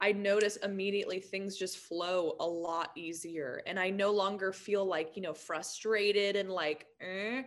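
A woman speaks with a plain, everyday voice. Her pace is moderate and her pitch medium. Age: 20s. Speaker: motivational speaker and author. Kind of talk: casual chat.

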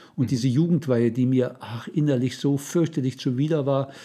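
Here a man speaks with a fairly high pitch and a dark, mellow tone that is somewhat breathy. His pace is moderate and his pitch variation ordinary. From eastern Germany, Saxony-Anhalt. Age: 70s. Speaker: retired church volunteer. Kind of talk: life story interview.

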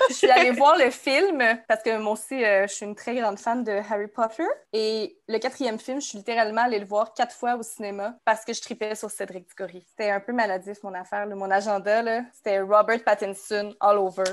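A woman with a Quebec accent talks fairly quickly in a fairly high voice, with ordinary pitch variation and big swings in loudness. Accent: Québécois French. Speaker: Instagram account founder. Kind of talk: casual chat.

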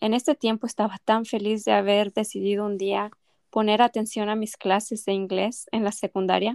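In a very clean recording with a silent background and a dry, close sound with no echo, a woman speaks at a fairly high pitch and moderate pace in a flat monotone. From Mexico. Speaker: language teacher, podcast co-host. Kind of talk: scripted educational podcast intro.

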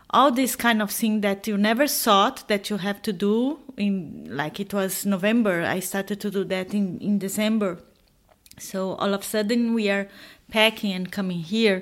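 With a Portuguese accent, a woman talks at a moderate pace and a medium pitch. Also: ordinary pitch variation. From Brazil. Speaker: expat author. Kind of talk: interview conversation. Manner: halting.

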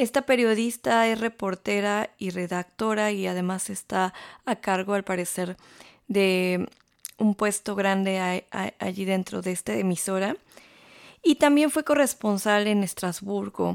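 A woman with a Mexican accent speaks fairly slowly at a medium pitch with ordinary pitch variation. The recording is very clean with a silent background and a dry, close sound with no echo. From Mexico. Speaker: radio host and journalist. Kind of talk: radio segment introduction.

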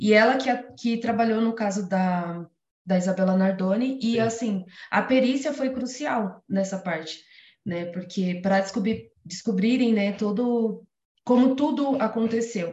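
This woman's voice is fairly high and somewhat breathy. Her pitch varies in an ordinary way. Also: fairly slow pace. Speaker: biology student and interviewer. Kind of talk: interview. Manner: excited.

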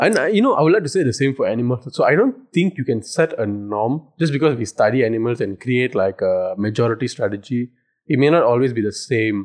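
A man in a plain, everyday voice talks at medium pitch and a fairly quick pace, with lively intonation and hardly any pauses. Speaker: podcast co-host. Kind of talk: casual chat.

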